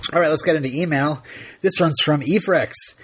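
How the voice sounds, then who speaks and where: A man speaks at a fairly high pitch for a man, with noticeable background noise behind him. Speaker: podcast host. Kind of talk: casual chat.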